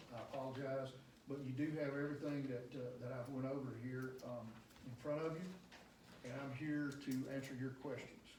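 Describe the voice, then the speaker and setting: With noticeable background noise and audible room echo, a man speaks at a medium pitch and a fairly quick pace in a monotone, flat way. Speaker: engineering consultant presenting to town board. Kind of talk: public meeting presentation. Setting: town board meeting. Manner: fast.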